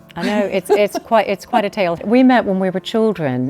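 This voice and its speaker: Noticeable background noise behind a woman in an American accent. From US South, Tuscaloosa, Alabama. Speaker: historic house owner. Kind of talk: casual chat. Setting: at home, drawing room.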